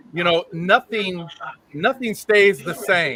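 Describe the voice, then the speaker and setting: Loud over noticeable background noise, a man with a high pitch speaks at a moderate pace with ordinary pitch variation. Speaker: photography association host. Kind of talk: live online panel chat.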